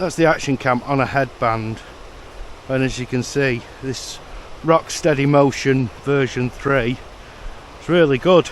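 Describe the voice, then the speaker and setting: Over noticeable background noise, a man with a British accent and a medium pitch talks at a fairly slow pace with fairly even intonation and long, frequent pauses. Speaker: tech reviewer. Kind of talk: vlog-style product review. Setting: outdoors. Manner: loud.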